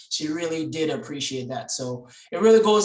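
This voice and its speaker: Audible room echo around a man's fairly high voice, delivered at a moderate pace. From Dominica. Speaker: club president. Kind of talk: meeting hosting.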